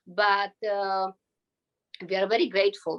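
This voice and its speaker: A woman speaks with a Slovak accent at a medium pitch. Her tone is bright and sharp. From Slovakia. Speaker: visa applicant. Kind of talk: interview.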